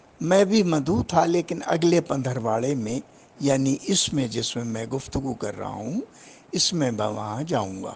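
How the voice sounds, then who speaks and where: A somewhat breathy man with medium pitch and lively intonation. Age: 80s+. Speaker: Urdu literary scholar. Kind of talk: interview commentary.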